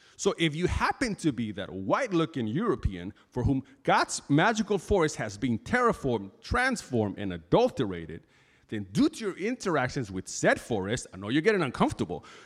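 A man's fairly high voice with vocal fry and very wide pitch swings, in a very clean recording with a silent background. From Bolivia. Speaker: pastor. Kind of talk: sermon. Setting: church.

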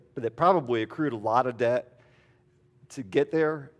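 A man's medium-pitched voice at a moderate pace, with ordinary pitch variation, against a quiet background. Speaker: pastor. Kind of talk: sermon. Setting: church. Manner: casual and halting, with many fillers.

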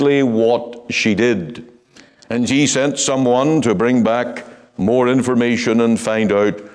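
The reading voice here is unforced, and the intonation stays fairly even.

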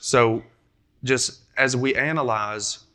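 A man's medium-pitched voice with a Kentucky accent, a bright, sharp tone and fairly even intonation, on a very clean recording with a silent background. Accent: Kentucky Southern US. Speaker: preacher. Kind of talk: sermon. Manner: halting, frequent repetitions and fillers.

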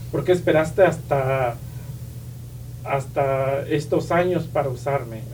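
A man's fairly high voice at a very slow pace, with ordinary pitch variation, long and frequent pauses, and audible room echo. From Oaxaca, Mexico (Isthmus of Tehuantepec). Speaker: pastor's son, church member. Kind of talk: testimony. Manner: halting, many fillers and repetitions.

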